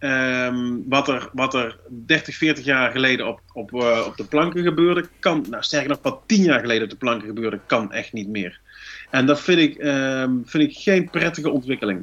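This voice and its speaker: At a medium pace, an unremarkable speaking voice talks with typical pitch movement. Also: man, medium pitch for a man. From North Brabant, Netherlands. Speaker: stand-up comedian and columnist. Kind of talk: casual chat.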